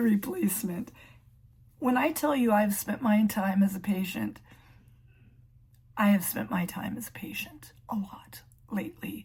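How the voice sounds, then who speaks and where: A woman with a fairly high pitch speaks in an ordinary speaking voice. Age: 60s. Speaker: emergency room clerical worker. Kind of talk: casual talk to camera.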